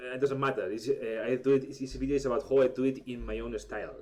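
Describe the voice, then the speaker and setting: A man of medium pitch speaks with a Spanish accent at a moderate pace, his intonation lively. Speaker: artist and illustrator. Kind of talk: tutorial. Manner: halting, many fillers and restarts.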